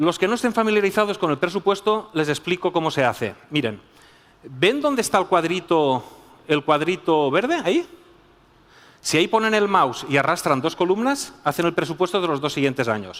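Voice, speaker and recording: A man's high voice with very wide pitch swings, very even loudness and a moderate pace. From Spain. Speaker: business school professor. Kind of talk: conference talk. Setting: stage with audience.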